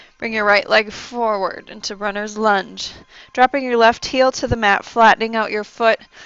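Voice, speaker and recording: A soft-spoken woman talks at a moderate pace in a fairly high pitch. Her intonation is monotone and flat. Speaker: yoga instructor. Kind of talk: guided yoga class instruction.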